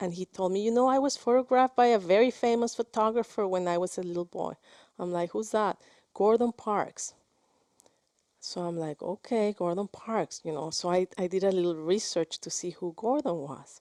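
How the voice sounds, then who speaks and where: A woman with a Spanish accent speaks at a moderate pace and medium pitch, with a dark, mellow tone and ordinary pitch variation. The sound is dry and close with no echo, over a quiet background. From Mexico. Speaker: film director. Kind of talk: interview. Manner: halting, many repetitions.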